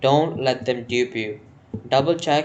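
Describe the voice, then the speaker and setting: A man with an Indian accent. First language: Hindi. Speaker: news explainer vlogger. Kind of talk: informal explainer monologue. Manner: halting, with false starts.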